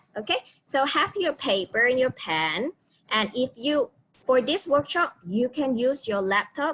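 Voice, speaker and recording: A woman's high voice, with very wide pitch swings, moves at a fairly slow pace in a dry, close sound with no echo. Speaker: online workshop host. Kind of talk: live tutorial. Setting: video call. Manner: hesitant, many fillers.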